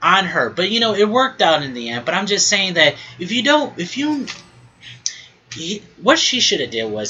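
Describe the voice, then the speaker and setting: Noticeable background noise accompanies delivery at a moderate pace. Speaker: podcast host. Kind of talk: casual monologue. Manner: mumbling at times; halting, many fillers and restarts.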